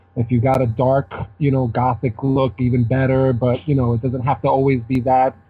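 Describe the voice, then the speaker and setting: A man at a moderate pace and medium pitch, monotone and flat in intonation, with very even loudness and music in the background. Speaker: magazine editor. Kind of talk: casual chat.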